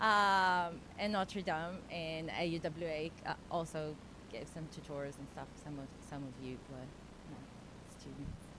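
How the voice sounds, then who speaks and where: Audible room echo carries a woman's very deep, low voice, bright and sharp in tone, as she speaks fairly slowly with ordinary pitch variation in a Brazilian accent. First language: Portuguese. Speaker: philosophy PhD researcher and tutor. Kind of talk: panel discussion. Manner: halting.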